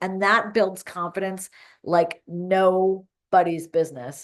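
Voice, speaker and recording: Here is a normal speaking voice from a woman at a medium pitch. She speaks at a fairly slow pace against a quiet background. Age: 50s. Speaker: fitness coach. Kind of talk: casual talk to camera. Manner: upbeat.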